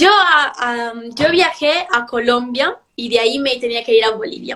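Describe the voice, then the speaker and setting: High-pitched speech from a woman, with pitch that varies in an ordinary way. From Italy, Milan. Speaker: beauty pageant contestant. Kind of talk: interview.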